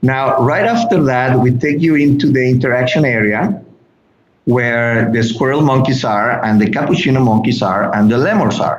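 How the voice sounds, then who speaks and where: This man talks at a moderate pace in a Mexican accent. His pitch shows ordinary variation. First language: Spanish. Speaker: animal sanctuary guide. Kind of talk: interview. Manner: halting, frequent repetitions.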